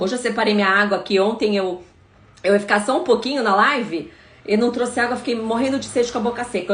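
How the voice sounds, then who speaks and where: There is audible echo from the room around a woman whose pitch sits fairly high. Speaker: prosecutor and anti-corruption campaigner. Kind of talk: live stream Q&A. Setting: live stream. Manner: hesitant fillers.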